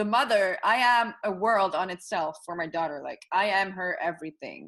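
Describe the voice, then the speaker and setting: Against a quiet background, a woman speaks at a medium pitch with a Dutch accent. Her pace is moderate, with ordinary pitch variation. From Netherlands. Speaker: yoga teacher and coach. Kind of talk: podcast interview. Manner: halting, searches for words.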